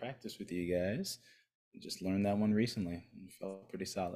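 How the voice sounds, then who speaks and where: The voice has a dark, mellow tone. It moves at a fairly quick pace with fairly even intonation. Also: man. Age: 30s. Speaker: men's coach. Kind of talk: casual interview conversation; guided meditation.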